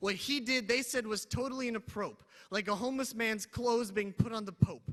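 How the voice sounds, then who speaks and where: A man with a high pitch speaks in a raised, projected voice, his tone bright and sharp and his pitch varying in an ordinary way. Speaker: spoken word poet. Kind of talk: spoken word poetry performance. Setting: live convention stage.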